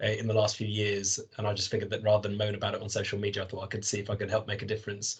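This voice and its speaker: Against a quiet background, a man speaks in a London accent, somewhat breathy and fairly low-pitched. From North London. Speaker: football supporters' trust board member. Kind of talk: podcast interview.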